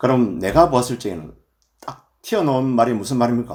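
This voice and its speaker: Speaking at a moderate pace, a man with a medium pitch and a dark, mellow tone shows vocal fry. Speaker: Buddhist monk, temple abbot. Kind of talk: dharma talk. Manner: filler 'eo' pauses.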